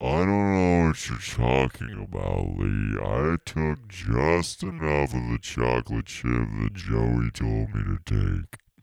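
A man performs a put-on character voice with a very deep, low pitch and lively intonation. He goes at a fairly slow pace with hardly any pauses.

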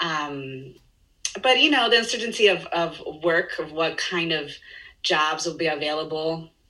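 Speaking at a fairly slow pace, a woman has a fairly low pitch and a bright, sharp tone, with audible room echo. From Chile. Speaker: dancer and choreographer. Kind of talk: casual interview chat. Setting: video call.

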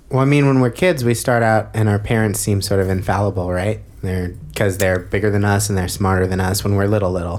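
A man talks at a fairly quick pace in a normal speaking voice. His pitch is fairly low and his intonation fairly even. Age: 20s. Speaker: podcast co-host. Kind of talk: casual chat. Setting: studio.

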